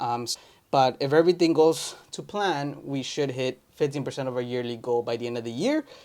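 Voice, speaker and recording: The speaker is a man with a Spanish accent. He goes at a very fast pace with fairly even intonation. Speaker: entrepreneur vlogger. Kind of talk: casual vlog update. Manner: casual with many fillers.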